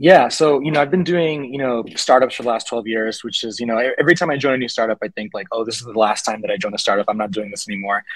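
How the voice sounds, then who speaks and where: A man's medium-pitched voice at a very fast pace, lively in intonation, with a dry, echo-free sound over a quiet background. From Puerto Rico (San Juan), then Miami from age 11; Puerto Rico. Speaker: startup founder and tech panel moderator; tech panel moderator. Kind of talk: panel discussion. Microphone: video call.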